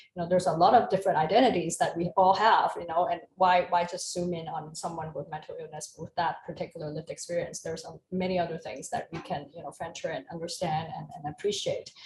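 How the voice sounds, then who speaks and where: The speech races along very fast with hardly any pauses and a somewhat breathy sound. Intonation stays fairly even while loudness swings widely. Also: woman, fairly low pitch for a woman. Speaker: psychology professor. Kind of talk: casual chat. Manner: hesitant, many fillers.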